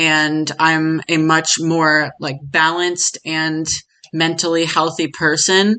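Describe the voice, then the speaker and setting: A woman's fairly low voice, bright and sharp in tone, in a quiet background. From United States. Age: 20s. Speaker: podcast guest. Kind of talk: interview testimony. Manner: casual, many fillers.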